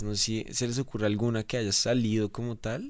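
The speaker is a man. Behind him, things are quiet. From Colombia, Bogotá. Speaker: pop band musician; guest. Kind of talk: casual interview chat. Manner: animated. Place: studio. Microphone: studio mic.

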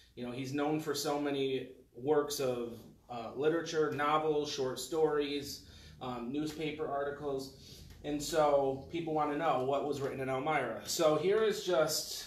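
Against light background noise and audible room echo, the voice moves at a fairly slow pace with fairly even intonation. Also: man. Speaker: speaker. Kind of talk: lecture. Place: meeting room. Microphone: camera far.

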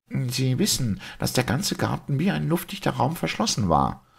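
A man of medium pitch puts on a character voice at a moderate pace, his pitch swinging widely, with vocal fry and a slightly husky edge, in a very clean recording over a silent background.

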